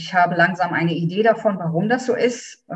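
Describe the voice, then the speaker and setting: This woman has a fairly low pitch and a somewhat breathy voice. She talks at a moderate pace with ordinary pitch variation. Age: 50s. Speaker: doula. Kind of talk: interview.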